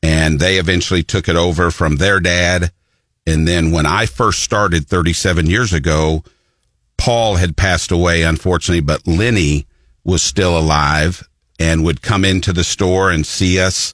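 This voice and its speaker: A man with an American accent at a very deep, low pitch, moderate pace, very even loudness, and fairly even intonation. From Columbia, Missouri. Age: 50s. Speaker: paint store co-owner. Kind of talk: radio interview. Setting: radio studio.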